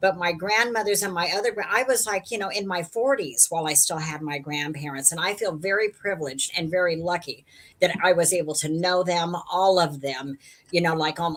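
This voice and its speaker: At a moderate pace, a woman speaks in an ordinary speaking voice, fairly low in pitch, with ordinary pitch variation. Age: 60s. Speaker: live stream participant. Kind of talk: casual chat.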